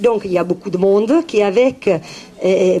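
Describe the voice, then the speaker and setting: In an Italian accent, a woman speaks at a medium pitch with ordinary pitch variation over noticeable background noise. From Italy. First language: Italian (speaking French). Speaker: naturopath. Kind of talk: talk to public. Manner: halting, many hesitations.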